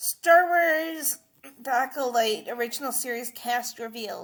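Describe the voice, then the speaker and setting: At a fairly slow pace, a woman speaks with a high pitch. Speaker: Star Wars news reactor. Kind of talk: casual talk to camera. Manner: casual, hesitant.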